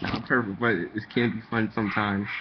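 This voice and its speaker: A man speaks at a moderate pace in a medium pitch. Noticeable background noise runs behind him. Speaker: manga vlogger. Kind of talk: casual webcam vlog.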